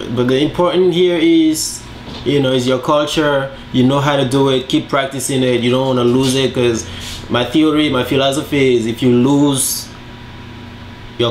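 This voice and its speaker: A man with a Togolese accent, fairly high in pitch, at a moderate pace with fairly even intonation, with audible room echo and noticeable background noise. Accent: West African (Togolese), kept. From Togo, West Africa. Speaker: home cook. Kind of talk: casual cooking video talk. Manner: hesitant, many fillers.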